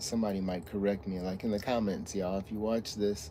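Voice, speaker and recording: A man's fairly even intonation against audible room echo. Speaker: streamer talking about his dog. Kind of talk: casual livestream chat. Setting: livestream from a truck stop. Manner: mumbling; halting.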